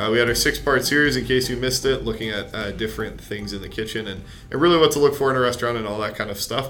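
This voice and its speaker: A man speaks at a medium pitch, with audible room echo around his voice. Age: 20s. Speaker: podcast host. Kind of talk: read announcements; interview.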